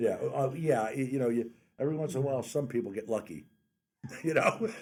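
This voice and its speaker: In an American accent, a man uses a normal speaking voice at a medium pitch. He talks at a fairly quick pace with lively intonation. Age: 60s. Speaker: radio host. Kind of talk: radio interview.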